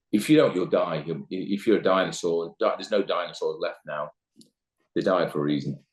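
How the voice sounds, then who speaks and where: A man with an East Midlands accent at a fairly quick pace. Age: 60s. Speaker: managing director, business owner. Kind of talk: podcast interview. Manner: hesitant, repeats words.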